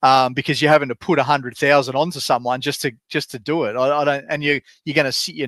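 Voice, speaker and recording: A man with an Australian accent speaks at a very fast pace and fairly high pitch. His intonation is fairly even, and the sound is dry and close with no echo. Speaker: fantasy sports podcast co-host. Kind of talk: casual chat.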